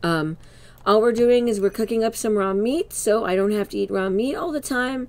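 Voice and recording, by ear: Speaking at a moderate pace, a woman has a medium pitch, ordinary pitch variation and a slightly mellow tone.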